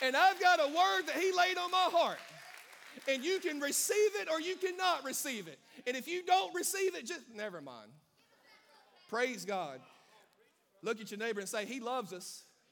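Against crowd noise in the background, a man with a Southern US accent speaks at an extremely high pitch, with very wide pitch swings, big swings in loudness and long, frequent pauses. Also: moderate pace. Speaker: pastor. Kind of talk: sermon to live congregation. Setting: church with congregation and live stream. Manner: animated, call-and-response, fiery and exhorting; informal and warm, pausing to poll the crowd.

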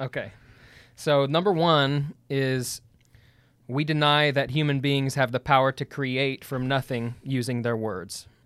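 A man speaks at a fairly slow pace in a normal speaking voice, fairly high in pitch. His intonation is fairly even, and the recording is very clean with a silent background. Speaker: continuationist debate partner. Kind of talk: casual debate chat.

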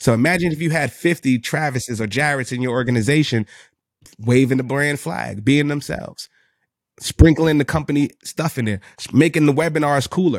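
A man with a New York accent, fairly high-pitched and fairly quick, in an animated tone with ordinary pitch variation and a dry, close sound with no echo. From New York City, the Bronx. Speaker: sales executive and business owner. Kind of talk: casual interview chat.

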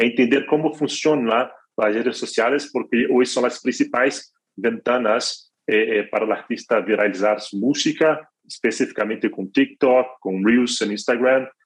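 This man's medium-pitched speech comes at a fairly slow pace, its intonation fairly even. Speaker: music distribution executive. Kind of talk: interview. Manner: halting, many fillers and repetitions.

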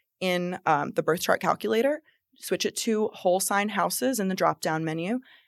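The speaker talks at a moderate pace with an American accent. This is a plain, everyday voice. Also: woman. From New Jersey. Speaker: astrologer and tarot reader. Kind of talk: casual interview chat.

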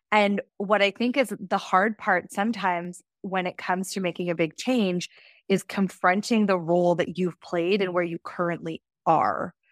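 A woman uses a normal speaking voice at medium pitch, with fairly even intonation and a moderate pace. The recording is very clean, the background silent. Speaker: podcast host. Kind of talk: casual interview chat.

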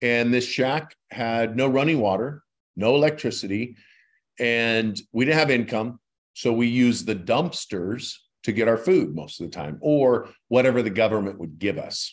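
On a very clean recording with a silent background, a man at medium pitch with an American accent uses a normal speaking voice, lively intonation and a moderate pace. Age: 50s. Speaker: credit repair expert, former firefighter. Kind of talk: interview.

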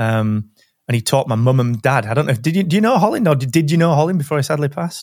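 A man with a South Yorkshire accent talks at a very fast pace, his voice somewhat breathy. His pitch sits fairly high and his intonation is lively. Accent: Barnsley, South Yorkshire. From Barnsley, northern England. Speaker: podcast host. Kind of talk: casual interview chat.

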